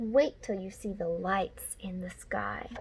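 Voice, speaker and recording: In a put-on character voice, a woman talks at a fairly slow pace and a medium pitch. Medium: read story.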